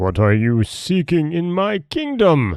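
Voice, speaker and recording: This man's put-on character voice sits fairly high. His delivery is fairly slow. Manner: threatening.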